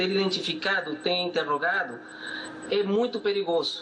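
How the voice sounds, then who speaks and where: Music plays in the background. A man with a Peruvian accent speaks in a high pitch. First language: Spanish (speaking Portuguese). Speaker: economist. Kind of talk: TV interview. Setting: video call. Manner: halting.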